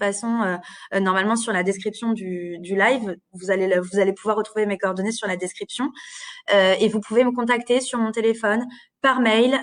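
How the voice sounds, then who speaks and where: Fairly quick delivery with fairly even intonation. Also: woman. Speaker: career guidance advisor at a training centre. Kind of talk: live stream presentation. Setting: Facebook live stream. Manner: hesitant, many fillers.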